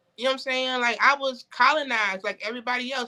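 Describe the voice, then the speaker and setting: A woman speaks very fast in a high pitch. Her tone is bright and sharp. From Connecticut, US. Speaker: podcast guest. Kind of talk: casual interview chat. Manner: animated.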